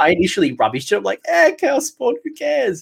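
With an Australian accent, the speaker talks with ordinary pitch variation. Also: man. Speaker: podcast host. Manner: casual, enthusiastic.

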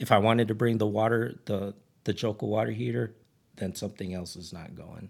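A man with a normal speaking voice and an American accent, fairly low-pitched, at a fairly quick pace, with ordinary pitch variation, big swings in loudness, and a very clean recording over a silent background. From Ridgecrest, California. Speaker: camping gear business owner and overlander. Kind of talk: casual chat.

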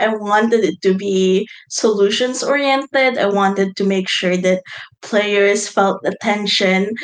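An unremarkable speaking voice from a woman, medium-pitched with ordinary pitch variation, a fairly slow pace, and very even loudness. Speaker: game designer guest.

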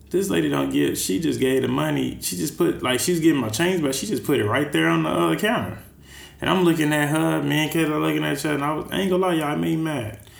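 With an American accent, a man talks at a very fast pace in a medium pitch with very wide pitch swings and audible room echo. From Texas. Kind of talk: casual chat.

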